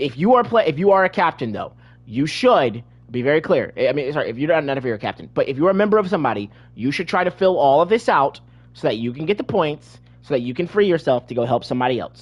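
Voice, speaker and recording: Loud and at a very fast pace, a man with a fairly high pitch speaks with very wide pitch swings. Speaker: gaming video creator. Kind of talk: gameplay tutorial. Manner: halting, many repetitions.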